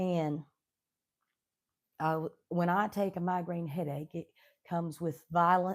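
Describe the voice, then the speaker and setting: A woman with an Appalachian accent, fairly slow, with long, frequent pauses and monotone, flat intonation. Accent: Appalachian Southern US. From Southwestern Virginia, Appalachian coal country. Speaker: homesteading YouTuber. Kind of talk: casual live stream chat. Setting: home kitchen, live stream.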